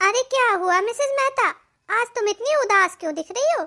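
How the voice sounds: Using a cartoonish character voice with lively intonation, a woman speaks at a moderate pace in a dry, close sound with no echo.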